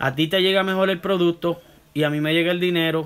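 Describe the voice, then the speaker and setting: A high-pitched man at a moderate pace with fairly even intonation. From Puerto Rico (Santurce), moved to US at 13; Puerto Rico. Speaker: barber. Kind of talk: live stream Q&A. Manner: halting, many self-corrections. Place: home room. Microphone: phone near.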